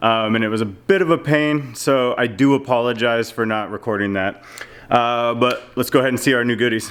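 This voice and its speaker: The speech moves fairly quickly, and its pitch rises and falls in an ordinary way. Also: man, medium pitch for a man. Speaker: car DIY youtuber. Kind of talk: tutorial. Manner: hesitant, many fillers.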